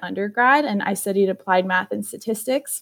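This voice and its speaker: Here a woman speaks at a fairly high pitch with fairly even intonation. She has a plain, everyday voice. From South Florida, US (born in Peru). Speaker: MBA student, student government co-president. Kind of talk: casual interview chat.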